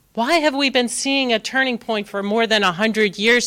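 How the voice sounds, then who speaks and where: Loud and fairly high, a woman's voice has a bright, sharp tone. She talks at a moderate pace with ordinary pitch variation. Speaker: tech industry executive giving a keynote. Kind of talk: conference keynote. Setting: stage with live and online audience. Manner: animated.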